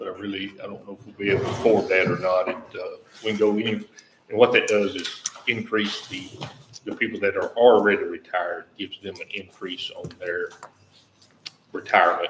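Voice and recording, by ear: A man speaks in a low voice. His pitch barely moves. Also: moderate pace.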